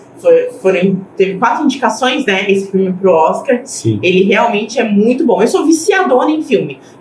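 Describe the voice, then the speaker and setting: A woman's fairly high voice with very wide pitch swings, a moderate pace, hardly any pauses and very even loudness, over noticeable background noise. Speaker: DJ. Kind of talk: casual chat.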